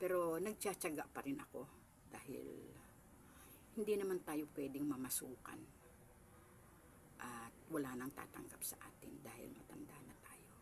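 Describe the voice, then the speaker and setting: Speaking at a moderate pace, a woman with a very deep, low pitch uses lively intonation, big swings in loudness and long, frequent pauses. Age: 70s. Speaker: small store owner vlogger. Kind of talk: casual home tour vlog. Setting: at home in her small store. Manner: polite, addressing viewers directly.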